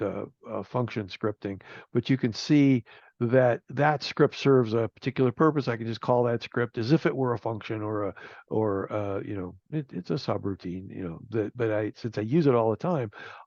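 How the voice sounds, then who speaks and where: The recording has a dry, close sound with no echo as a man speaks at a medium pitch with ordinary pitch variation. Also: quiet background. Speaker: software developer presenter. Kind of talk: technical presentation to user group. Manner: halting, many fillers and restarts.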